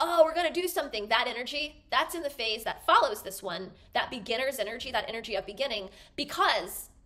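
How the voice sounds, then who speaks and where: The voice moves at a fairly quick pace, with a bright, sharp tone and lively intonation. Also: woman. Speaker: wellness educator. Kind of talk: explanatory talk to camera. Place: home room.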